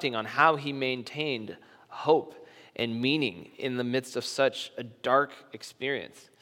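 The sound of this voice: The reading voice here is unforced.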